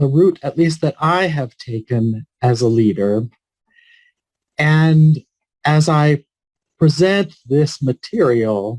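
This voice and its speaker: Pitched fairly high, a man speaks at a very slow pace with lively intonation and a somewhat breathy quality. The sound is dry and close, without echo. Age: 60s. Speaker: palliative care physician. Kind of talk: keynote speech.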